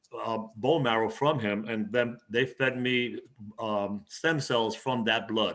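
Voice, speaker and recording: A man speaks with a New York accent at a medium pitch. His pace is very slow and his intonation fairly even. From East Harlem, New York City. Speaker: poet and retired teacher. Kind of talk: interview answer.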